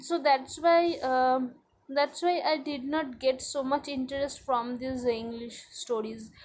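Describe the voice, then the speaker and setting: Speaking very slowly in a high voice with a Bengali accent, a woman keeps her intonation fairly even. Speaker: English language learner vlogger. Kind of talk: spoken practice monologue. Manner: halting, many fillers and repetitions.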